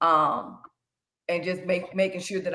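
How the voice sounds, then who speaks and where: The tone is bright and sharp. The intonation stays monotone and flat. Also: woman. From US South, Shreveport, Louisiana. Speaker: financial educator and credit consultant. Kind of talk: workshop presentation to young people.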